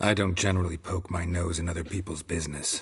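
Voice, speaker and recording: A man does a put-on character voice, very deep and low in pitch and raspy. He races along at a very fast pace in a deadpan tone. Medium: video game. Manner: terse, deadpan.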